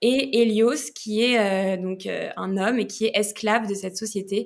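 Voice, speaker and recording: Her pitch fairly high and her intonation fairly even, a woman speaks at a fairly slow pace. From France. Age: 20s. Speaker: novelist. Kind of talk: podcast interview. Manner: hesitant, many fillers.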